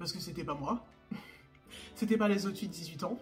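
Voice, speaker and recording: A woman talks. Background music can be heard. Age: 20s. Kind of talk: casual talk to camera.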